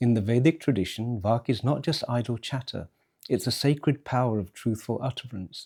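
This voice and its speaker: A man talks in a dark, mellow tone. The recording is very clean, with a silent background. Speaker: philosopher, scholar. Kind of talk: philosophical monologue. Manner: forceful, uncompromising.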